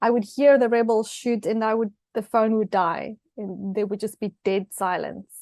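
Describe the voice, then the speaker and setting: A fairly high-pitched woman's voice with a South African accent, at a moderate pace and with fairly even intonation, over a quiet background. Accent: Afrikaans South African English. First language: Afrikaans. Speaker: author and TV personality. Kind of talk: interview. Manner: hesitant, many fillers.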